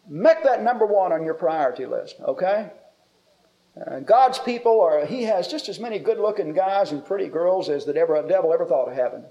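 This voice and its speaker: In an American accent, a man with a high pitch speaks at a moderate pace with very wide pitch swings. There is audible room echo. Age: 50s. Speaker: preacher. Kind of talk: sermon.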